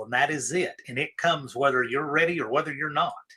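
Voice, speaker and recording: This is a plain, everyday voice, moving fairly quickly with ordinary pitch variation. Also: man. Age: 40s. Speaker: livestream host. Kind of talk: casual chat.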